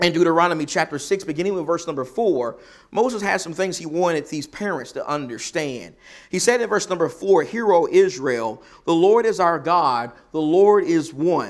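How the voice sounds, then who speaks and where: The background stays quiet while a man delivers his words at a moderate speed. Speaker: preacher. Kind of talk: sermon. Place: church.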